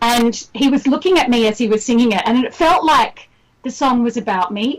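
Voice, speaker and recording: With an Australian accent, the voice shows ordinary pitch variation. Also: woman, high pitch for a woman, moderate pace. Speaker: singer-songwriter. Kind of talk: radio interview. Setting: remote call from Australia.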